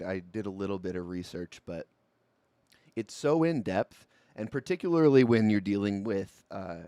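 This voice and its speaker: A man's fairly low voice at a moderate pace, dry and close with no echo, on a very clean recording with a silent background. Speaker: livestream political commentary host. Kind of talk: live stream commentary. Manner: casual, conversational.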